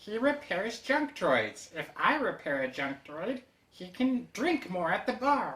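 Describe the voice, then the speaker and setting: This is a put-on character voice that sounds female. It sits at a medium pitch for a woman and makes very wide pitch swings. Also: fairly slow pace. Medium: audio drama. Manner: precise, formal.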